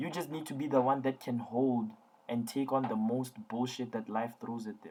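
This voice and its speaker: At a moderate pace, a man speaks calmly at a medium pitch with a dark, mellow tone. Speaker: tutoring company founder giving advice to students. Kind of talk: online lecture-style talk to students. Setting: online class, audience listening remotely. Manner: low-key, calm tone.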